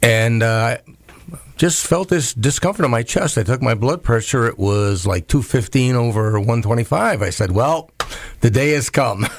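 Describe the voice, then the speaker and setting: A man's voice at very even loudness over noticeable background noise. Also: medium pitch for a man, ordinary pitch variation, moderate pace. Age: 60s. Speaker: postal worker. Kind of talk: interview conversation. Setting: radio studio.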